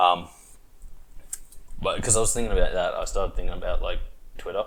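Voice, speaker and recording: Speaking very fast, a man talks with an Australian accent. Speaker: podcast host. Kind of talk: casual chat. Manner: animated.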